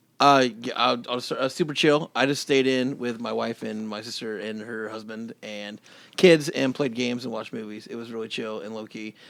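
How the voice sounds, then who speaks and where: An unremarkable speaking voice from a man, at a moderate pace with ordinary pitch variation and big swings in loudness. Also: medium pitch for a man, hardly any pauses. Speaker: podcast co-host. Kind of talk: casual chat. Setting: basement studio.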